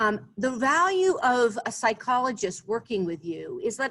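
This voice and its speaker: A woman speaks in a bright, sharp tone, her pitch swinging very widely. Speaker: business psychologist. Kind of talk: virtual presentation. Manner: fast.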